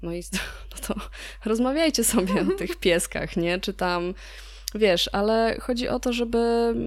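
A woman speaks at a very slow pace. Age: 30s. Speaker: podcast co-host. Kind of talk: casual chat. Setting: remote recording from her workplace.

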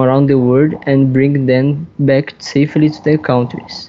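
The speaker talks in a monotone with flat intonation and a Portuguese accent. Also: man. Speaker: statistics professor (role-play). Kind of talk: scripted school podcast. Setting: at home.

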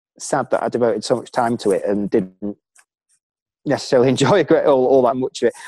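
A man with a Lancashire accent, fairly high in pitch, at a moderate pace, in a dry, close sound with no echo. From Preston, Lancashire, northern England. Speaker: former elite runner. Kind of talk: casual interview.

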